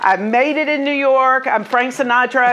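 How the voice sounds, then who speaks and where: A woman with an American accent, ordinary pitch variation, and light background noise. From US South, Jackson, Mississippi; Mississippi. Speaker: mortgage loan officer, former opera singer; interviewee. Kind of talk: interview at networking group. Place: home room.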